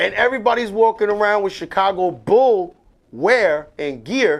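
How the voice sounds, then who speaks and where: The man's pitch is high. It varies in an ordinary way. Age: 40s. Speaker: barber and show host. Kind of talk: casual chat. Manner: animated.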